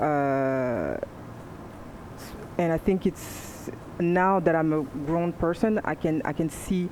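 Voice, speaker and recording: A woman's fairly low voice with ordinary pitch variation, over noticeable background noise. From France. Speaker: panelist. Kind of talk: panel discussion.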